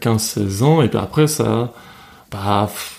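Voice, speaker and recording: The man's tone is dark and mellow. He talks very slowly. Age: 20s. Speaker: podcast guest. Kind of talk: casual chat.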